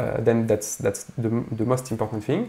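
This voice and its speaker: Somewhat breathy, this man's voice has a dark, mellow tone and a medium pitch. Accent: French. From France. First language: French. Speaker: composer and pianist. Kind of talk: tutorial. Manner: halting, many fillers.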